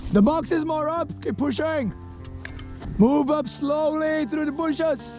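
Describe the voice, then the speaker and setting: A man shouts at an extremely high pitch. Music plays in the background. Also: ordinary pitch variation. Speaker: airsoft player, platoon leader. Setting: outdoors. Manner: yelling commands.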